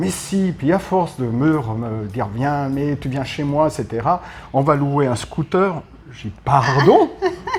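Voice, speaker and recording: Speaking very slowly, a man with a fairly high pitch and ordinary pitch variation makes big swings in loudness. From France, Paris. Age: 60s. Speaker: retired expat. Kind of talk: interview.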